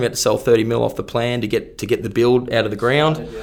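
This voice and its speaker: The speaker has an Australian accent and vocal fry. The pace is very fast. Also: man. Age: 30s. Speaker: real estate agent. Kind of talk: casual chat.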